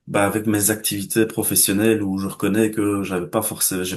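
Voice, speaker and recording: A man at a moderate pace, fairly low in pitch, with monotone, flat intonation against a quiet background. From Belgium. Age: 20s. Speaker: chess student giving testimonial. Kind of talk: interview testimony. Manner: hesitant, many filler words.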